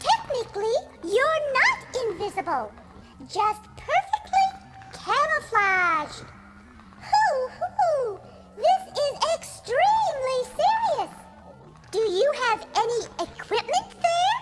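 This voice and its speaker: A female-sounding voice does a put-on character voice at an extremely high pitch, moving at a very slow pace with long, frequent pauses. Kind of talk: children's audio drama.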